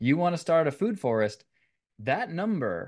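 A man talks with an American accent. The background is quiet. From Northern California (San Jose). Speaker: organic gardening business owner. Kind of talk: interview.

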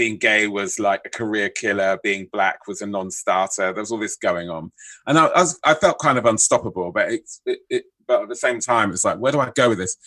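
With a London accent, a man talks at a fairly quick pace, his voice dry and close with no echo against a quiet background. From southeast London (Bermondsey). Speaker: screenwriter. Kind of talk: interview.

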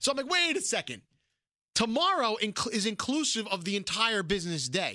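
A man's raised, projected voice in a New York accent, high-pitched and bright and sharp in tone, with very wide pitch swings, a fairly quick pace and long, frequent pauses. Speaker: podcast co-host, radio personality. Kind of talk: casual comedic banter.

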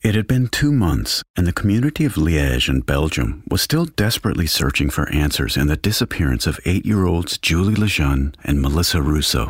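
Speaking with an American accent, a man has a very deep, low pitch with vocal fry and very wide pitch swings. His pace is fairly quick with hardly any pauses, and his loudness stays very even. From Texas. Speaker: true crime podcast host. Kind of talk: scripted narration.

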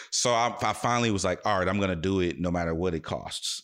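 A man speaks with a very deep, low pitch and vocal fry. The recording is very clean, with a silent background. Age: 30s. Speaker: radio host and DJ. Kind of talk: casual interview chat.

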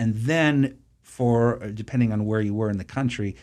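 A man talks at a medium pitch and moderate pace. His pitch variation is ordinary, and the recording is very clean with a silent background. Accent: American. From US Northeast, Boston suburbs. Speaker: photographer and author. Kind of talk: interview. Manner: halting.

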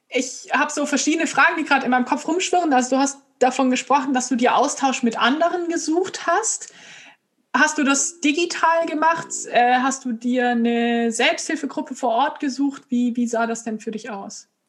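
With ordinary pitch variation, a woman speaks in a high voice. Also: moderate pace. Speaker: podcast host with epilepsy. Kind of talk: casual interview conversation.

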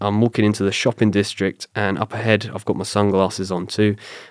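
A man talks at a fairly quick pace with a fairly low pitch and a slight southern English accent. His intonation is monotone and flat, and the sound is dry and close with no echo. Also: hardly any pauses. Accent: British, slight-to-moderate southern English. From south coast of England. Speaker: retired special forces commando and bodyguard. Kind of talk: casual interview chat. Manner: conversational, storytelling.

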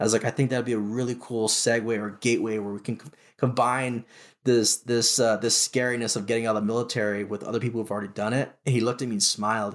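At a very fast pace, a man speaks at a medium pitch in a monotone, flat delivery. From Hawaii, Honolulu. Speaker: former special forces sailor, sales manager. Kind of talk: interview, life story. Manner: halting, filler-heavy.

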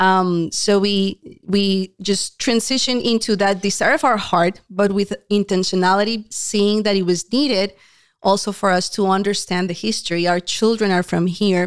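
A woman with a Spanish accent speaks at a medium pitch and moderate pace, with fairly even intonation and very even loudness, in a very clean recording with a silent background and a dry, close sound with no echo. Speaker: homeschooling parent. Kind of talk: casual chat. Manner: laughs often.

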